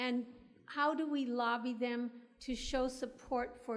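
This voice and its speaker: Audible room echo surrounds a woman's high-pitched voice as she speaks fairly slowly with fairly even intonation. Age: 80s+. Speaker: audience member. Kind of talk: audience question. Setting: lecture hall, floor microphone.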